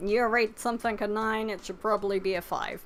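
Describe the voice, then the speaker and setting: The recording is very clean, with a silent background. A woman speaks at a medium pitch and moderate pace, her intonation fairly even. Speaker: anime YouTuber. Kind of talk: casual chat. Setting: live stream. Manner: quiet. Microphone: too quiet, told to get closer to mic.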